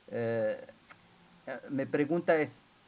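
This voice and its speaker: A man speaks at a fairly slow pace with ordinary pitch variation and an Arabic accent, over noticeable background noise. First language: Arabic (speaking Spanish). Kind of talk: academic Q&A in a seminar. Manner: halting, many fillers and repetitions.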